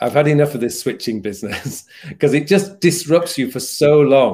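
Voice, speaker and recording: With a Yorkshire accent, a man talks at a fairly quick pace in a fairly high pitch, his pitch varying an ordinary amount. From Yorkshire, England. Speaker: productivity coach and YouTuber. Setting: live stream, video call.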